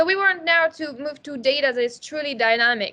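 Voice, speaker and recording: Projecting loudly in a bright, sharp tone, a woman with a non-native accent talks at a fairly quick pace in a high pitch with lively intonation. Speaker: neuroscientist presenting a product webinar. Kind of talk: webinar presentation.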